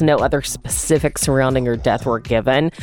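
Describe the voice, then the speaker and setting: The voice moves at a moderate pace with noticeable background noise behind it. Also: woman. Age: 30s. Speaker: radio host. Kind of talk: morning radio show.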